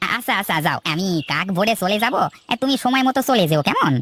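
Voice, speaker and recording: This is a cartoonish character voice pitched fairly high. It moves along at a fairly quick pace. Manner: hesitant starts, folksy.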